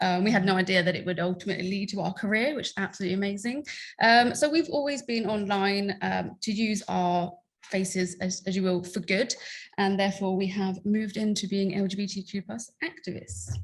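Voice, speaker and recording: Speaking at a fairly quick pace with an American accent, a woman sounds somewhat breathy at medium pitch over a quiet background. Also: ordinary pitch variation. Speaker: LGBTQ+ content creator and activist. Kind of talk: conference talk.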